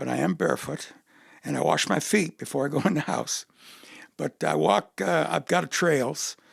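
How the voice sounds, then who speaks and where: Very wide pitch swings and vocal fry in a man's medium-pitched voice, moderate in pace. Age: 70s. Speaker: retired educator, army veteran and amateur dancer. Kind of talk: casual interview chat.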